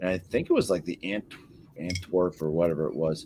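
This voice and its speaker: Speaking at a fairly quick pace, a man talks with a New England accent. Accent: Yankee. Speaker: beer review show host. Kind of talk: casual beer tasting chat.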